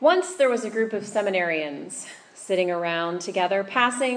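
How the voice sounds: The clip features a natural reading voice.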